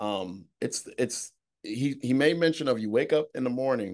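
At a fairly slow pace with ordinary pitch variation comes a plain, everyday voice. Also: man. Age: 30s. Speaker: real estate investor. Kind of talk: casual chat.

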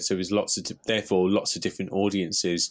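A man with a British accent talks at a fairly quick pace in a very deep, low pitch. His intonation is monotone and flat, on a very clean recording with a silent background. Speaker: marketing podcast host. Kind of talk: casual chat.

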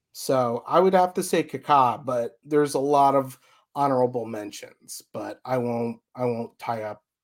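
A man's plain, everyday voice at a medium pitch, with an American accent, at a fairly slow pace on a very clean recording with a silent background. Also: ordinary pitch variation. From Chicago suburbs, US Midwest. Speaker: fan podcast host. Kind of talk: casual chat.

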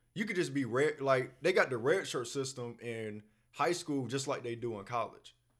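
With ordinary pitch variation, a man at a medium pitch speaks in a plain, everyday voice. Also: moderate pace. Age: 30s. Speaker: podcast host. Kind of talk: casual chat.

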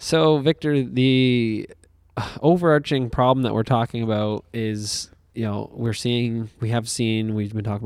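On a very clean recording with a silent background, a man at medium pitch talks at a moderate pace in a dry, close sound with no echo. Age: 20s. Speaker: podcast co-host. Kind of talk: casual chat. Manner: animated.

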